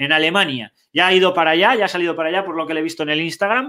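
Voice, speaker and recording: Against a quiet background, a man speaks very fast in a raised, projected voice with a bright, sharp tone. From Cantabria, Spain (Castro Urdiales); Cantabria, Spain. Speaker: sports show host. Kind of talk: casual sports talk show. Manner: animated. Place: home room. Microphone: webcam.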